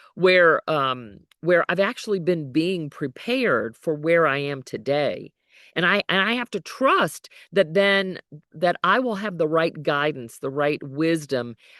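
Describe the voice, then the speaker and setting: Fairly low for a woman, her voice carries an American accent and lively intonation at a fairly slow pace, dry and close with no echo over a quiet background. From US South, New Orleans. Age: 60s. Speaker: leadership coach. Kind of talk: online teaching session. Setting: outdoors at a national park, live stream. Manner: talkative.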